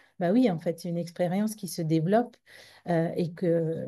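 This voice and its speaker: Over a quiet background, a woman with a fairly low pitch speaks in a somewhat breathy, dark, mellow tone with ordinary pitch variation. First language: Tamil (speaking French). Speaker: psychologist. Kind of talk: conference talk. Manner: halting with many repetitions.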